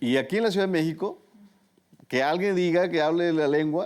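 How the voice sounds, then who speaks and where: A dark, mellow tone with ordinary pitch variation. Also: man. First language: Tu'un Savi (Mixtec) (speaking Spanish). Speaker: journalist. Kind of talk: interview conversation.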